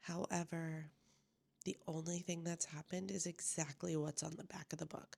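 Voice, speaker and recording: A woman talks quietly at a moderate pace. Her very deep, low voice carries vocal fry. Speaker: book vlogger. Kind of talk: casual vlog update. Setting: at home, others asleep. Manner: quiet, talking low.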